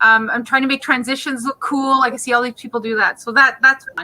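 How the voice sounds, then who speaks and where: The tone is bright and sharp. Words come at a very fast pace. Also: woman. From immigrant, moved at age eight. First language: not English. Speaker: guest speaker. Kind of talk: casual chat.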